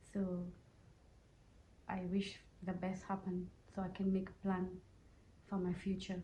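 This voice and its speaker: A woman speaks with a dark, mellow, somewhat breathy tone in a monotone, flat intonation, with audible room echo. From Mauritius. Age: 30s. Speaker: asylum seeker resident at a shelter. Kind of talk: interview testimony. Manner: halting, non-fluent English.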